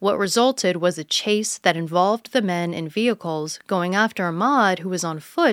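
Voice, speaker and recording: On a very clean recording with a silent background and a dry, close sound with no echo, a woman speaks at a moderate pace and medium pitch in a plain, everyday voice. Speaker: news podcast host. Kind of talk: news reading, scripted headline summary. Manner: even, measured, formal.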